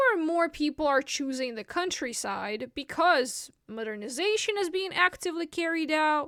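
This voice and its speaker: A woman with a Russian accent speaks in a high voice at a fairly slow pace, using lively intonation. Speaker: vlogger. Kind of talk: casual explainer monologue.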